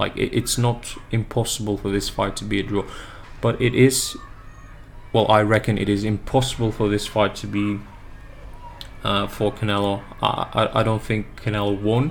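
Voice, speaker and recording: A fairly low-pitched man with a slight non-native accent, flat monotone intonation and long, frequent pauses, over noticeable background noise. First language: not English. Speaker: boxing fan YouTuber. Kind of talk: casual analysis monologue. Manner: halting, many filler words; slow-paced.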